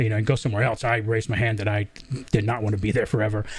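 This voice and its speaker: A man's voice, somewhat breathy, with an American accent. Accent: Southern accent mostly trained away. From US South, southern Georgia. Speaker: podcast host. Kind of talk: live interview.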